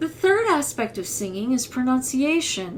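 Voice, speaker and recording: Someone with a Midwestern accent talks at a fairly slow pace. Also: woman. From US Midwest. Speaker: voice teacher. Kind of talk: tutorial.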